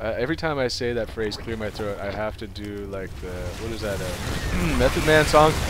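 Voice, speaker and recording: Over noticeable background noise and audible room echo, a man speaks in an animated tone at a fairly low pitch, hardly pausing. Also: lively intonation, moderate pace. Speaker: game commentator. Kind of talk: live game commentary. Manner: animated, excitable; rambling with many fillers.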